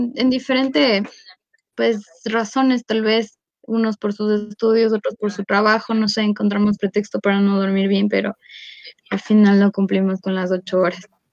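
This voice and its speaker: At a fairly slow pace, a woman talks in an unremarkable speaking voice at a fairly high pitch, in a dry, close sound with no echo. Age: 20s. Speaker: podcast host. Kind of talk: casual chat.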